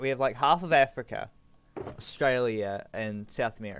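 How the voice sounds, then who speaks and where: A man with a New Zealand accent talks at a moderate pace. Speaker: gaming streamer. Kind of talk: casual chat. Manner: halting, many fillers.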